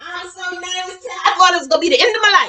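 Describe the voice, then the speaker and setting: A woman's raised, projected voice at a very fast pace, with an animated tone. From New York (Queens). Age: 60s. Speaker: cooking channel host. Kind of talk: casual storytelling during cooking demo.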